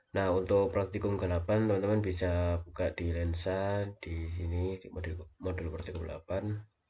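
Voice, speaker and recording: A man speaks at a moderate pace in a monotone, flat intonation. His voice is somewhat breathy. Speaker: university lecturer / lab instructor. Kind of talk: recorded lecture tutorial. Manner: hesitant, many fillers.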